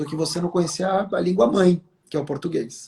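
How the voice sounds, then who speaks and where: A man's dark, mellow tone moves at a moderate pace, with pitch varying in an ordinary way. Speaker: communication expert. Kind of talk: interview.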